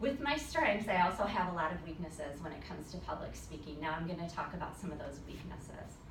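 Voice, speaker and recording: A woman talks at a very fast pace, with audible room echo and noticeable background noise around her. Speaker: student. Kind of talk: class speech.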